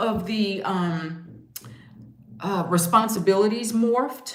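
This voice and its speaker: A woman speaks at a very slow pace with ordinary pitch variation, over noticeable background noise and audible room echo. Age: 60s. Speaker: travel vlogger and house sitter. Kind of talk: casual chat.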